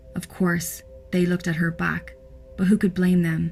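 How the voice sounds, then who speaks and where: Someone talks at a moderate pace with music in the background. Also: woman. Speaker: horror story narrator. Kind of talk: horror story narration.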